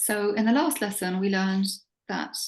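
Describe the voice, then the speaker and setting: A somewhat breathy woman at medium pitch with fairly even intonation. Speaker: religious teacher. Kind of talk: lecture.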